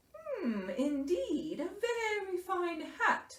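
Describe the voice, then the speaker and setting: Using a put-on character voice, a woman speaks at a very slow pace and an extremely high pitch with very wide pitch swings. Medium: read story.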